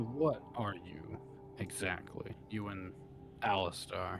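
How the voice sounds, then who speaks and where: Over clear background noise, a man uses a put-on character voice and talks at a very slow pace. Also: fairly low pitch for a man. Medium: actual play.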